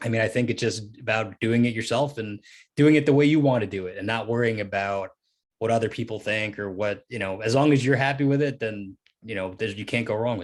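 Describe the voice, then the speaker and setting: The recording is very clean, with a silent background. A man with a plain, everyday voice and medium pitch talks at a fairly quick pace with ordinary pitch variation. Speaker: comic book writer. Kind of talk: Q&A interview. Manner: casual, many fillers.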